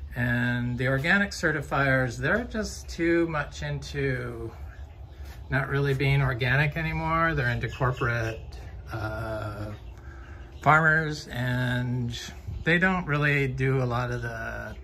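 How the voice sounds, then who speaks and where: With light noise behind him, a man delivers his words very slowly. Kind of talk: casual vlog chat. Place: garden. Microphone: phone near.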